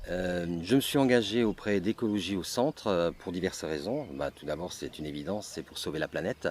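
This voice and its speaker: Against noticeable background noise, a man with a very deep, low pitch speaks fairly quickly with lively intonation and hardly any pauses. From Strasbourg, Alsace, France. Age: 60s. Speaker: election candidate. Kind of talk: campaign speech. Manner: halting, repeats words.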